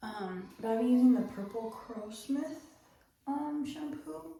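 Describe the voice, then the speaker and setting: Whispering at a fairly slow pace, a woman is heard with audible room echo and noticeable background noise. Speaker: vlogger. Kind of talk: casual chat. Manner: animated.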